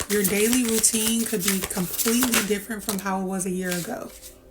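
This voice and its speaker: A woman's medium-pitched voice at a fairly quick pace, fairly even in intonation, over noticeable background noise. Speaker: tarot reader. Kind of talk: tarot reading. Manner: projecting, louder than before; casual, filler-heavy.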